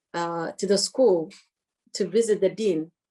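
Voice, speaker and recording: A woman speaks with an Eritrean accent and a dark, mellow tone. Her pitch varies in an ordinary way. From Eritrea, Asmara. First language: Tigrinya. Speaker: dentist. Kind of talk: interview.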